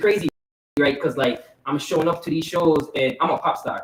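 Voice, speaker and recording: A man speaks in a strong Virgin Islands accent. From US Virgin Islands, Saint Croix. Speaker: pop musician. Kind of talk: casual interview chat. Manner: casual, filler-heavy.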